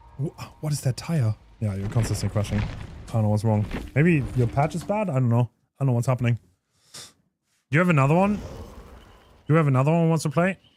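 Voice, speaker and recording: A man with a medium pitch talks at a very fast pace, breaking it with long, frequent pauses, in an animated, somewhat breathy tone with lively intonation. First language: not English. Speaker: gaming streamer. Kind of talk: live game stream commentary. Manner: casual, animated.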